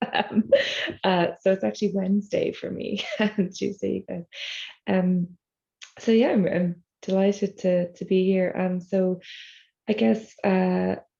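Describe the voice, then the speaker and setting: In an Irish accent, a woman speaks at a fairly slow pace with long, frequent pauses. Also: ordinary pitch variation. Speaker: e-learning professional. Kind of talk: casual talk. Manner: speaking low.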